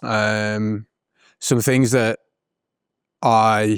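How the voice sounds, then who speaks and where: A man with a British accent, medium pitch and monotone, flat intonation, in a dry, close sound with no echo. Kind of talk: casual reflective talk to camera. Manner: hesitant, conversational.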